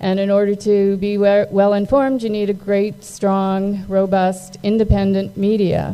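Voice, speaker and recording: A woman's medium-pitched, monotone, flat delivery at a fairly slow pace, hardly any pauses, with audible room echo. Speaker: magazine publisher, event sponsor. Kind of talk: event speech. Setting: stage with audience. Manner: hesitant, many fillers.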